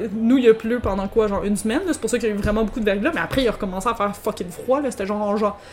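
Over music in the background, a woman in a Quebec accent speaks very fast at a fairly high pitch with ordinary pitch variation. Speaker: podcast co-host. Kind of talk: casual chat, gin tasting.

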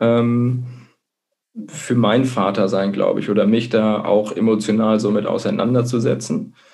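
With a dark, mellow tone, the voice moves at a fairly slow pace, its loudness very even and intonation fairly even, against audible room echo. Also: man, medium pitch for a man. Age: 30s. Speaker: blogger and marketing manager. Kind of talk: interview. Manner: hesitant, many filler sounds. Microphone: connection dropped out briefly.

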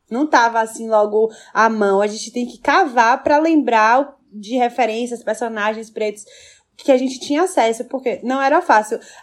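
The speech has a moderate pace and ordinary pitch variation. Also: woman, high pitch for a woman. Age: 20s. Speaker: podcast co-host. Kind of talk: casual chat.

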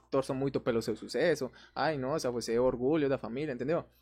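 Speaking at a very fast pace, a man with a Spanish accent has a fairly high pitch. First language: Spanish (speaking Portuguese). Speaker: influencer. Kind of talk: casual chat.

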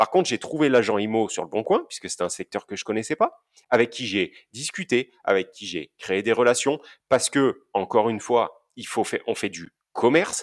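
Lively intonation from a man at medium pitch and moderate pace, in a very clean recording with a silent background. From Basque Country, France. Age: 30s. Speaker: property investor. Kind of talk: interview. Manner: outspoken.

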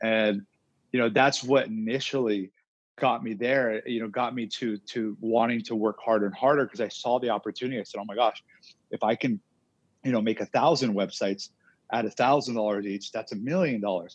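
Using a plain, everyday voice, a man talks at a fairly quick pace. His pitch is medium, and his intonation fairly even. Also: quiet background. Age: 20s. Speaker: entrepreneur. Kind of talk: interview.

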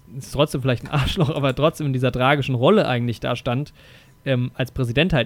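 This man has a plain, everyday voice at medium pitch, speaking at a fairly quick pace with fairly even intonation. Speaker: film podcast host. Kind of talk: casual chat.

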